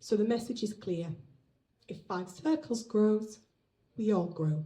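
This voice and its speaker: A woman with a British accent, fairly high-pitched, somewhat breathy, and lively in intonation. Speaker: business owner. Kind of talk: business launch speech.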